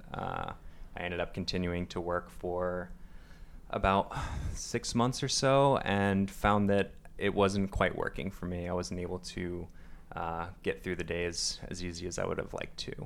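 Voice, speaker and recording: A man with an American accent, very deep and low in pitch, with fairly even intonation. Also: moderate pace. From US Northeast, Long Island, New York. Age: 20s. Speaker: rock climber. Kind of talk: interview.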